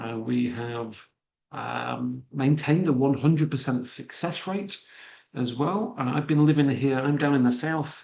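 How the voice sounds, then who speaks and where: A man talks with a slight Manchester accent at a moderate pace. His pitch is fairly high, with ordinary variation. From northern England, Manchester. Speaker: immigration consultant and financial planner. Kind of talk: webinar presentation. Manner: hesitant, many fillers.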